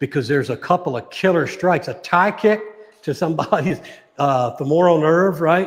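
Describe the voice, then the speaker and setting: An ordinary speaking voice from a man, fairly high in pitch with ordinary pitch variation, comes at a moderate pace on a very clean recording with a silent background. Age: 60s. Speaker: martial arts coach. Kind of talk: casual chat. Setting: live stream.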